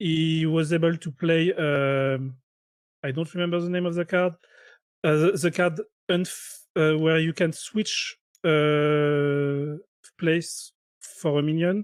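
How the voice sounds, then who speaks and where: On a very clean recording with a silent background, a man speaks very slowly with long, frequent pauses, using a fairly high pitch and fairly even intonation. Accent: French. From France. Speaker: game commentator. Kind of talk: live commentary. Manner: halting.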